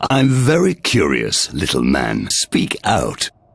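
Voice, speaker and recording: A man puts on a character voice pitched very deep and low. He delivers it at a fairly slow pace. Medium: video game. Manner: condescending, imperious.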